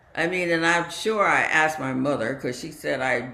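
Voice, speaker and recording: A woman talks with lively intonation in a room with audible echo. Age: 80s+. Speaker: meditation community talk leader. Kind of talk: dharma talk.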